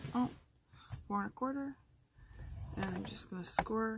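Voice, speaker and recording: Noticeable background noise behind a woman's fairly high voice. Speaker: card-making crafter. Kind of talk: tutorial. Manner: speaking louder than usual.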